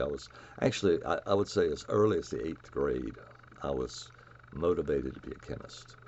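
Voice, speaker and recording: Fairly quick speech from a man with a Southern US accent. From US South, North Carolina (near Raleigh). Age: 70s. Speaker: chemist. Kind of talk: lecture. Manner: halting.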